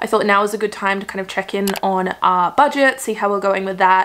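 A woman speaks with an Australian accent. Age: 20s. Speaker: YouTuber. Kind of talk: casual vlog chat. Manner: animated. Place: home room.

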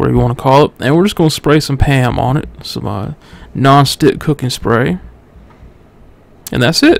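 A man speaks at a moderate pace, the sound dry with no echo. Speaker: home cook vlogger. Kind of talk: tutorial. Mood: relaxed, jokey. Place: kitchen. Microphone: phone near.

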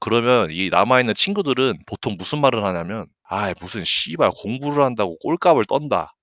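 The tone is animated, with hardly any pauses. It is a very clean recording with a silent background and a dry, close sound with no echo. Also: man. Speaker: gaming streamer. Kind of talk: casual livestream chat. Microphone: good mic, picks up breathing.

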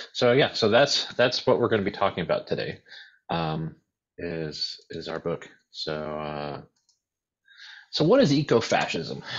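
Pausing long and often, a man with an American accent speaks at a fairly slow pace and a fairly low pitch, his pitch swinging very widely. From US, born in Uruguay. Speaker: author and editor. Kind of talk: online panel discussion. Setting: video call.

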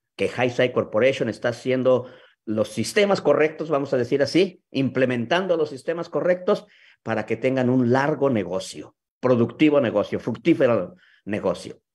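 The man keeps a moderate pace while his intonation stays lively. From Mexico City. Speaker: sales leader hosting a video talk; guest. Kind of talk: live video talk. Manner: halting. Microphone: video call.

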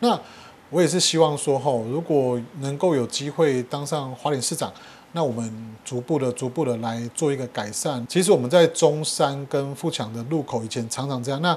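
A man talks at a moderate pace. His pitch is fairly high, with ordinary pitch variation. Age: young. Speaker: mayoral candidate, local politician; candidate, local politician. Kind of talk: political interview. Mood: earnest campaign appeal. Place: home room.

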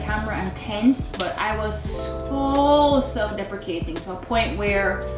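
A woman talking at a moderate pace, with audible room echo and clear music in the background. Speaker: vlogger. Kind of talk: casual vlog chat. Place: home room.

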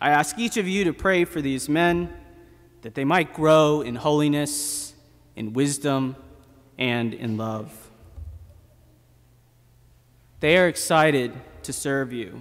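A man at a very slow pace with long, frequent pauses, ordinary pitch variation and a quiet background. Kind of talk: sermon. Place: church. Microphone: podium.

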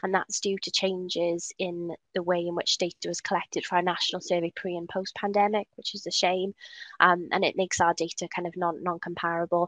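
The sound is dry and close with no echo. A woman speaks at a fairly low pitch with monotone, flat intonation. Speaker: public health practitioner. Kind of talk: webinar presentation. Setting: video call.

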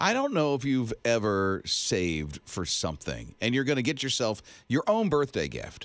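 A man talks at a moderate pace in an animated tone. The background is quiet, and the sound is dry with no echo. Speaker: radio host. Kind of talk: radio show banter. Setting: studio. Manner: chatty, animated, joking. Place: studio. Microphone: studio mic.

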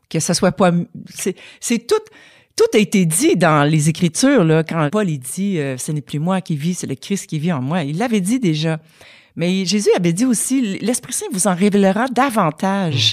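In a very clean recording with a silent background, a normal speaking voice moves at a fairly slow pace with lively intonation. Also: woman, medium pitch for a woman. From Quebec. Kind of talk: testimony.

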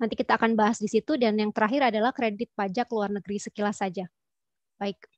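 Fairly high-pitched, a woman talks at a very fast pace with fairly even intonation in a dry sound with no echo. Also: quiet background. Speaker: tax official; presenter. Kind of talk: webinar presentation. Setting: video call. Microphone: video call.

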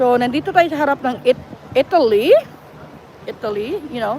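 A woman speaks with lively intonation. Crowd noise can be heard behind her. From Philippines. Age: 50s. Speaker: vlogger. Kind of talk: casual live vlog. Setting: walking in a mall.

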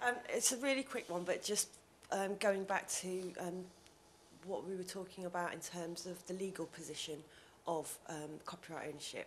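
A woman at a moderate pace, ordinary pitch variation, light background noise. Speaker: conference attendee. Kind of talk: audience Q&A. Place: meeting room.

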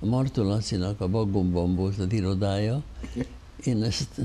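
With ordinary pitch variation, a man's speech unfolds at a very slow pace. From Hungary. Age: 80s+. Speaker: theatre financial adviser; guest. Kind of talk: interview. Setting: studio. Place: studio. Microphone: lapel.

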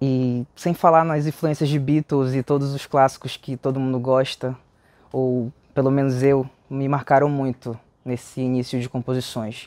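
A man's medium-pitched voice in a Pará accent, flat and monotone, at a moderate pace, with a dry sound and no echo. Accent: Paraense Brazilian Portuguese. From Pará, Brazil (Cametá, Tucuruí, Belém). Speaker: musician. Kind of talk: interview. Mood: relaxed and friendly. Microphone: lapel.

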